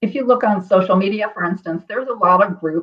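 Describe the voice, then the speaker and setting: In an unremarkable speaking voice, a woman talks at a fairly quick pace with medium pitch and lively intonation. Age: 50s. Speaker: martial artist and author. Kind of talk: interview.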